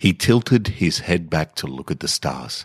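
Very deep and low, a man's voice with vocal fry moves at a very slow pace in an Australian accent, the sound dry and close with no echo. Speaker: podcast host and fiction reader. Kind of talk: literary fiction reading, measured and atmospheric. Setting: home recording in a garage. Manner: slow, measured, hushed and contemplative narration.

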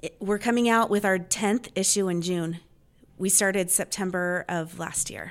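In an ordinary speaking voice with an American accent, a woman of medium pitch speaks at a moderate pace with fairly even intonation, on a very clean recording with a silent background. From Los Angeles area, California. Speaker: local events publisher. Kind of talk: casual interview. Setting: meeting room.

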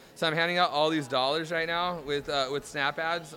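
Speaking with an American accent, a man with an unremarkable speaking voice talks at a fairly quick pace, with fairly high pitch and fairly even intonation. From Southern California. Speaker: startup founder. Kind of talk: street interview.

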